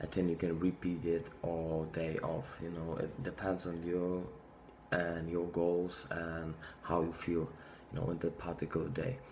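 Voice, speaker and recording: Speaking at a moderate pace with a non-native accent, a man with a very deep, low pitch keeps his intonation fairly even, and the room echo is audible. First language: not English. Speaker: fitness vlogger. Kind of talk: casual monologue to camera. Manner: halting, many fillers.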